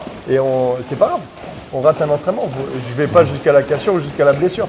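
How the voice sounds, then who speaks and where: A loud, fairly high male voice at a very fast pace, ordinary in pitch variation, over noticeable background noise. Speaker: muay thai coach. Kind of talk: casual chat. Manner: animated.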